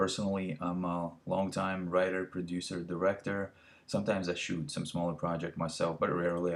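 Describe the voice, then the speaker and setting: Very deep and low in pitch, a man talks with a non-native accent. His intonation is monotone and flat, and the background is quiet. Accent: foreign. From Latvia. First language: not English (fourth language). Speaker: filmmaker and business coach. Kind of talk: webinar presentation. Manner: halting, many fillers.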